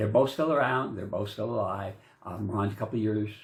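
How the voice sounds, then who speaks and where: A man speaks with a fairly low, somewhat breathy voice over audible room echo. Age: 60s. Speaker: vlogger. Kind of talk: casual monologue. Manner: halting, many fillers; rambling.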